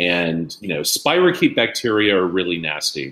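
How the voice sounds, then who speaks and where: A man talks at a moderate pace with lively intonation. His very deep, low pitch carries a bright, sharp tone. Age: 50s. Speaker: scientist discussing disease and population genetics. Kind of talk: interview conversation.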